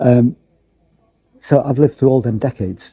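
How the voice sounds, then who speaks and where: A man's somewhat breathy, relaxed voice with a dark, mellow tone, medium pitch, ordinary pitch variation and moderate pace, in a dry, close sound with no echo. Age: 60s. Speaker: local history vlogger. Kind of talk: casual vlog monologue. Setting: theatre foyer, seated in a chair. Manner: relaxed, reflective with hesitations.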